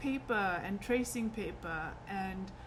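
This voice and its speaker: A woman speaks at a medium pitch with lively intonation. Room echo is audible. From South Africa. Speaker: artist and fabric designer. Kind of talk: casual personal introduction vlog. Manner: conversational with frequent fillers.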